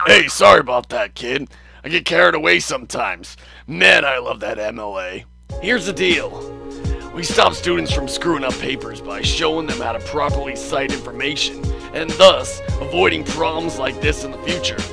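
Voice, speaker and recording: A man puts on a character voice at a moderate pace while clear music plays in the background. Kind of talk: comedic student film skit. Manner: excitable, angry.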